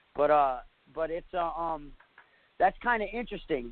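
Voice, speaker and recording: A man with an American accent talks at a moderate pace. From northern New York, US. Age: 40s. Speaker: bigfoot eyewitness. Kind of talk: interview testimony. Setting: internet radio show. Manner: halting, many fillers.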